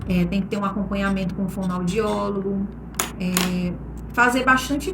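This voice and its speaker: A woman speaks at a moderate pace with lively intonation. The room echoes audibly, and background noise is noticeable. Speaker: master of ceremonies. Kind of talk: recorded talk to a class.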